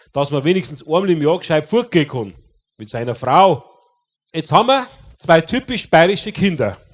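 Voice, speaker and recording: Speaking at a moderate pace with a Bavarian accent, a man's high voice moves through very wide pitch swings. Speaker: comedian. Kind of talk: comedy storytelling. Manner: casual narration.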